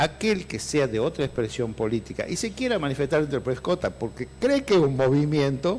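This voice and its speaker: A man speaks at a fairly quick pace, with hardly any pauses. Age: 60s. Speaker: lawyer and party politician. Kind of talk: interview. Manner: halting.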